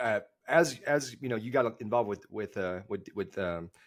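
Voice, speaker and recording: Someone speaks at a moderate pace with a Dallas accent. The recording is very clean and the background silent. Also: man. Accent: Dallas Texas. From Texas, Dallas area. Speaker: golf podcast co-host, guest. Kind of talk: casual podcast chat. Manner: halting, many fillers and repeats.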